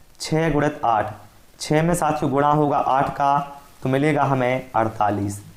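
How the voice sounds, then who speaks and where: There is audible room echo as a man speaks. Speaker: online math teacher. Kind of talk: tutorial.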